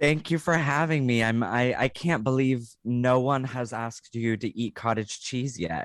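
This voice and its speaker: In an ordinary speaking voice, a man with an American accent talks at a moderate pace with hardly any pauses, a medium pitch and ordinary pitch variation, on a very clean recording with a silent background. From US West, rural Oregon. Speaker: comedian and actor. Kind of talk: casual interview chat.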